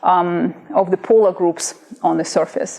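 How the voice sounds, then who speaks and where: This woman's pitch moves in an ordinary way while noticeable background noise plays behind her. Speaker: professor. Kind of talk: lecture.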